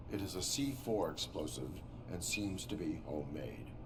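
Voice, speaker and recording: Over loud background noise, someone uses a put-on character voice at a moderate pace. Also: man, very deep, low pitch for a man. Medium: video game. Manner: flat, clipped, emotionless.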